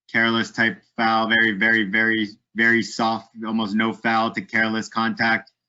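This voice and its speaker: This man has a medium pitch and speaks at a fairly slow speed. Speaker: soccer refereeing manager, presenter. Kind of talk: webinar Q&A. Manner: monotone.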